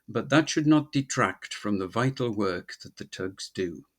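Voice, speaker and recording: Against a quiet background, a man at medium pitch uses lively intonation in an ordinary speaking voice. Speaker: ship spotter and video maker. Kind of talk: documentary voice-over narration.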